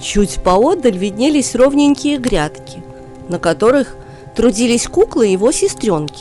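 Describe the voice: A dark, mellow tone with big pitch swings at a fairly slow pace, over faint background music. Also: woman, fairly high pitch for a woman.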